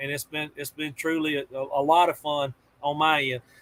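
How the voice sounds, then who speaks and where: Noticeable background noise sits behind a man with a fairly high pitch. He talks at a moderate pace in a monotone, flat intonation. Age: 60s. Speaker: fence industry consultant. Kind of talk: podcast interview. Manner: casual, filler-heavy.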